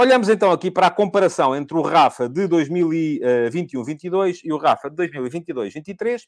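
A man's high-pitched voice with lively intonation and a European Portuguese accent. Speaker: football commentator, podcast host. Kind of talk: solo live-stream football analysis. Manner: hesitant, many filler sounds.

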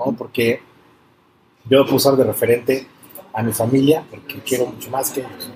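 A man talks at a moderate pace and medium pitch, with monotone, flat intonation. His loudness swings widely, and long pauses come often. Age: 40s. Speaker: entrepreneur in construction and art. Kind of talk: interview.

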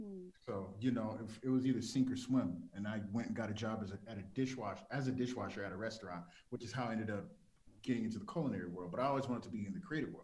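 A somewhat breathy man with an American accent, at a very fast pace, medium pitch and ordinary pitch variation, with audible room echo. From South Central Los Angeles. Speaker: TV executive producer. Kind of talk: interview.

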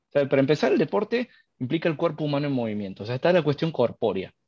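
Over a quiet background, a man talks at a very fast pace with lively intonation and a fairly high pitch, the sound dry and close with no echo. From Argentina, Córdoba. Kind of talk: live podcast discussion. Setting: live stream with call.

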